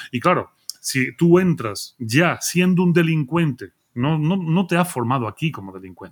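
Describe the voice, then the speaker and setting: With an unremarkable speaking voice, a man talks fairly slowly at a fairly high pitch, using lively intonation and big swings in loudness. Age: 40s. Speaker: philosopher. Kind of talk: casual chat.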